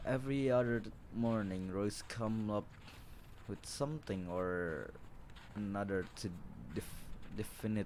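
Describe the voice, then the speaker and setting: A man with a non-native accent speaks at a fairly slow pace in a fairly low pitch. His pitch varies in an ordinary way, with long, frequent pauses. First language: not English. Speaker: gaming video creator. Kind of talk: reading aloud a visual novel with commentary. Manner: halting, many restarts; apologetic.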